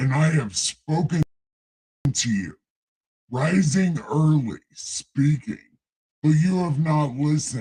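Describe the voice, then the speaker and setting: Using a put-on character voice, a man sounds booming at a fairly high pitch. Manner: booming, authoritative.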